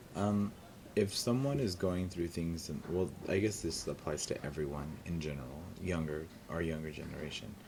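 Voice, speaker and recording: A man's very deep, low pitch with ordinary pitch variation at a moderate pace, in audible room echo. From California Central Valley, Tulare area. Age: 30s. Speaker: drag performer. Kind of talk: oral history interview. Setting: university library.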